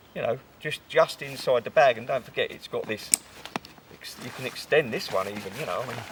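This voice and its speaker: Against noticeable background noise, a man speaks at a fairly quick pace with big swings in loudness. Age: 60s. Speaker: outdoorsman showing his rucksack. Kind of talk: casual chat.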